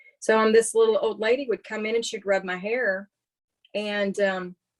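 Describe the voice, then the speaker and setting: Speaking in an American accent, a woman keeps a medium pitch and a fairly slow pace. The sound is dry and close, with no echo. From East Texas. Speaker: paranormal investigator and empath. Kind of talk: podcast interview, casual storytelling.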